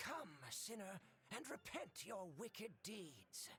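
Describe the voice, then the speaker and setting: Over clear background noise, a put-on character voice at a middle pitch talks fairly slowly. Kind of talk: solemn, sermonizing.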